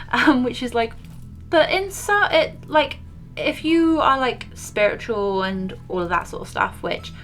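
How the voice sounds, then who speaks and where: With music in the background, a woman speaks at a fairly slow pace in a British accent, showing big swings in loudness. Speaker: beauty and paranormal YouTuber. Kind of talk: casual makeup tutorial chat. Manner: casual, rambling with fillers.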